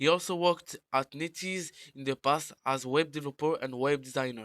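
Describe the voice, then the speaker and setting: A man's fairly high voice at a fairly quick pace, with a non-native accent, in a dry, close sound with no echo and a very clean recording with a silent background. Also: ordinary pitch variation. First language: French. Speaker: gaming YouTuber. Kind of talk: scripted narration.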